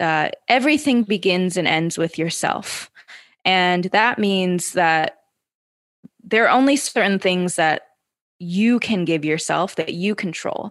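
Lively intonation marks this woman's speech. She talks very slowly. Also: medium pitch for a woman. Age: 30s. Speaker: former elite gymnast and entrepreneur. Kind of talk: interview.

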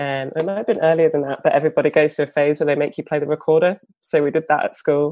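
A woman with a British accent, very deep and low in pitch, dark and mellow in tone, with fairly even intonation, a very fast pace and hardly any pauses, in a dry, close sound with no echo. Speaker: bassist and singer. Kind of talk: interview.

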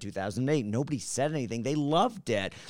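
At a fairly quick pace, a man with a medium pitch speaks in an animated way with lively intonation. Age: 40s. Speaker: retired YouTuber. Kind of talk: casual chat.

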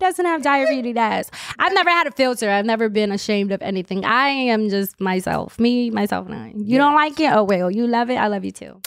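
Lively, fairly quick speech from a woman with an American accent, fairly high in pitch, with hardly any pauses and big swings in loudness. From US East Coast. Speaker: comedian. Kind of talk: casual chat. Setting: studio. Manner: drops syllables.

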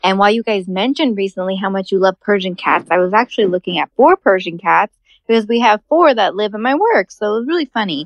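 A woman at medium pitch with lively intonation, a very fast pace and hardly any pauses. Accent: American. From California. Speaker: cat rescue worker. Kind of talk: voicemail message. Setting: phone call.

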